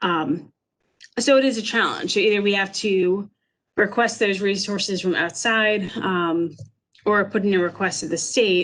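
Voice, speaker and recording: A woman with an ordinary speaking voice, ordinary pitch variation and a moderate pace, over a quiet background. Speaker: emergency manager. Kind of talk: webinar presentation. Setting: online webinar.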